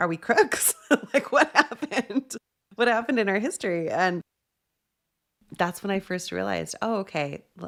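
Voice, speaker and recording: With an American accent, this woman speaks at a moderate pace and a medium pitch, her voice showing vocal fry and very wide pitch swings, broken by long, frequent pauses. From New Mexico, US. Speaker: podcast host, executive coach. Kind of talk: casual interview chat.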